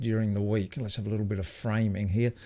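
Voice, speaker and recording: A man speaks with an Australian accent. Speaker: video coach. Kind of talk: live stream Q&A. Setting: live stream. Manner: casual, hesitant with fillers.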